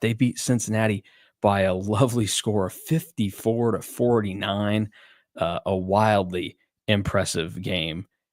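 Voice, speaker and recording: A man speaks quietly and fairly slowly at a fairly low pitch, in a dry, close sound with no echo. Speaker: sports podcast host. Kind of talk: casual chat. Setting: at home, video call. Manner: hushed, quiet.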